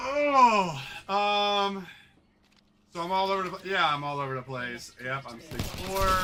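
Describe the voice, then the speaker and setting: A man's high, raised, projected voice with very wide pitch swings, a fairly slow pace and long, frequent pauses, amid noticeable background noise and audible room echo. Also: big swings in loudness. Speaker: gaming live streamer. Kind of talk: casual chat.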